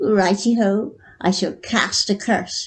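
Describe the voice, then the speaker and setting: Putting on a squeaky character voice, a woman speaks at a fairly slow pace and a medium pitch. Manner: casting a curse.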